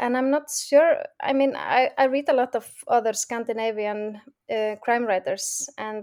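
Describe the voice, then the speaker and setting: Speaking at a fairly slow pace, a woman with a strong Icelandic accent uses a high pitch and ordinary pitch variation. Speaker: crime novelist. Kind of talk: interview. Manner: laughs often.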